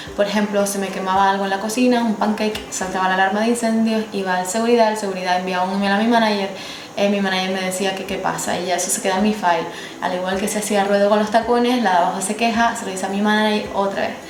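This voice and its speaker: A woman speaks very fast at medium pitch with monotone, flat intonation. Noticeable background noise runs underneath. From Gran Canaria, Spain. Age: 20s. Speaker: former cabin crew. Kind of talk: casual talk to camera.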